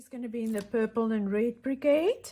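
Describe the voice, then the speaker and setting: The voice is somewhat breathy with a dark, mellow tone. Its intonation is fairly even. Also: woman. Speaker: craft tutorial host. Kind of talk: tutorial. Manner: casual, thinking aloud.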